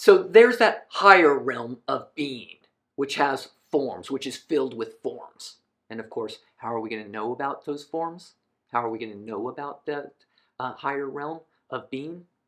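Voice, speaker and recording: An unremarkable speaking voice at a moderate pace, with lively intonation and big swings in loudness. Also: man, fairly high pitch for a man. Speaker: philosophy lecturer. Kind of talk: lecture. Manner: casual, with fillers.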